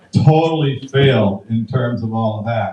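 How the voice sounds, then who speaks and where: A man's somewhat breathy voice carries a dark, mellow tone and ordinary pitch variation. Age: 60s. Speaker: comedian. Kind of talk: stand-up.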